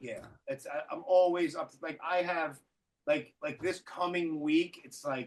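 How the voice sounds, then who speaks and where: Speaking in a Brooklyn accent, a man uses a high pitch with ordinary pitch variation, a fairly slow pace, and big swings in loudness. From Brooklyn, New York. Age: 40s. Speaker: podcast host. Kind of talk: casual chat. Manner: halting, repeats words.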